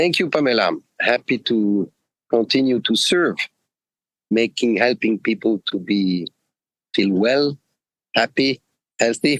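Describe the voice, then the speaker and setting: A man with a Swiss French accent speaks at a medium pitch and a fairly slow pace, with long, frequent pauses and ordinary pitch variation. His loudness stays very even, and the sound is dry and close with no echo. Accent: French-Swiss accent, noticeable. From French-speaking Switzerland. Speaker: executive coach. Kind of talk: podcast interview. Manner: hesitant, many fillers.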